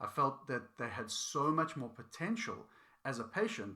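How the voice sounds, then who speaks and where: Here a man speaks with a non-native accent at a moderate pace. His tone is bright and sharp, with very wide pitch swings. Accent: foreign. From outside the United States. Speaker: healthcare provider, podcast co-host. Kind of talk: podcast discussion.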